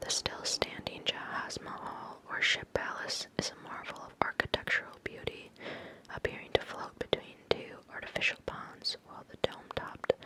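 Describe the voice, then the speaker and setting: A woman whispers at a moderate pace, with big swings in loudness. There is noticeable background noise. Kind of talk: whispered magazine reading, ASMR. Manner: whispered, soft.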